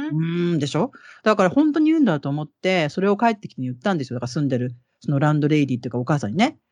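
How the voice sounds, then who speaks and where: Very fast and lively, a woman talks at a very deep, low pitch with big swings in loudness. The background is quiet. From Japan, Kansai region. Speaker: interview guest, Japanese expat. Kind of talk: casual interview.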